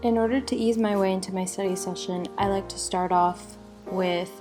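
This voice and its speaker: Over music in the background, a woman talks at a moderate pace with ordinary pitch variation. Her voice sits at a medium pitch. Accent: General American. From Phoenix, Arizona. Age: 20s. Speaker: university student. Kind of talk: casual talk to camera.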